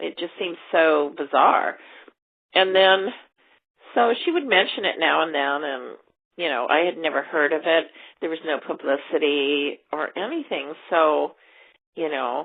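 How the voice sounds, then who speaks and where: At a fairly slow pace, the speaker uses a plain, everyday voice with ordinary pitch variation. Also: woman. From US West Coast, Los Angeles. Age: 60s. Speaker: interviewee, daughter of a film star. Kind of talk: interview.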